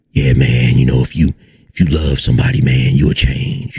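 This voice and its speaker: A man in a put-on character voice, raspy and very deep, at a moderate pace. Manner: smooth, faux-sincere.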